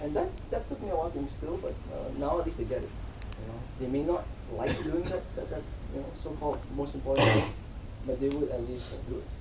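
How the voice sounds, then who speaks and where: Amid noticeable background noise, someone soft-spoken talks at a very fast pace. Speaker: agile team lead. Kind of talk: conference talk.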